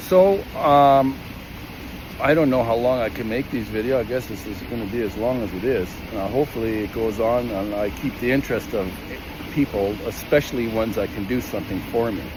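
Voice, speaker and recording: A man at medium pitch with ordinary pitch variation and a fairly quick pace, over noticeable background noise. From Canada, Calgary, Alberta. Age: 60s. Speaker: equipment operator telling a workplace grievance. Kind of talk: personal testimony vlog. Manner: halting, many fillers and restarts.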